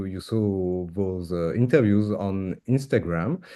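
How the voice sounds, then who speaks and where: A man with a French accent and lively intonation. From France. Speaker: interviewer, miniature painting hobbyist. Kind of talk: casual interview host.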